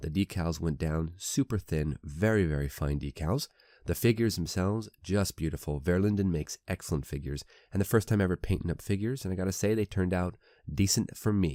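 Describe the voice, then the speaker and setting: Recorded very cleanly against a silent background, with a dry, close sound and no echo, a man talks at a fairly quick pace in a very deep, low voice, his tone dark and mellow and his intonation lively. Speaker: scale model builder. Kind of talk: casual video tutorial.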